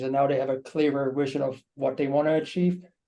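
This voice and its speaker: A man with a German accent, fairly high pitch and a dark, mellow tone, speaking at a moderate pace. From Germany. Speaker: marketing team member. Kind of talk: webinar panel discussion.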